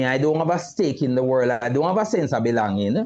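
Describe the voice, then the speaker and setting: A man talks at a fairly high pitch. His pitch swings very widely. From Jamaica, Kingston inner city. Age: 60s. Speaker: retired mental health nurse and youth advocate. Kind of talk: live talk show interview. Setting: live video stream.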